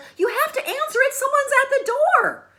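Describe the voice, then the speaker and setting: A squeaky, put-on character voice, female-sounding, at an extremely high pitch and a fairly quick pace. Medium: solo performance. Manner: urgent, worried.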